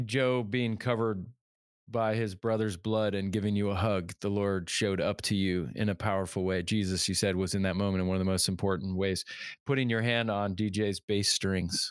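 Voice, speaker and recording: In an ordinary speaking voice, a man talks at a moderate pace and a fairly low pitch, with fairly even intonation and very even loudness, on a very clean recording with a silent background. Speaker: podcast co-host. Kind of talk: interview conversation.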